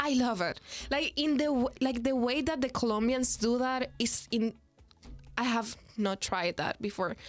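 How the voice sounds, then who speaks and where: Speaking at a fairly slow pace, a woman with a Spanish accent uses a high pitch and ordinary pitch variation. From Dominican Republic. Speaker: international student. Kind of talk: podcast interview answer. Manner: casual, chatty.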